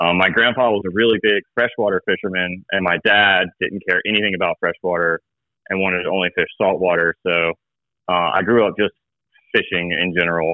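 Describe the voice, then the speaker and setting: This man has a very deep, low voice and an American accent. He talks at a fairly quick pace with fairly even intonation and very even loudness. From coastal South Carolina (North Myrtle Beach area). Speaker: fishing guide. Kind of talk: casual chat.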